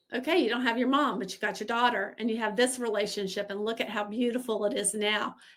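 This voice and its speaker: A woman with an American accent talks at a fairly quick pace in a plain, everyday voice, with fairly high pitch and ordinary pitch variation on a very clean recording with a silent background. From Texas. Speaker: recovery guest, social worker. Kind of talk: casual chat.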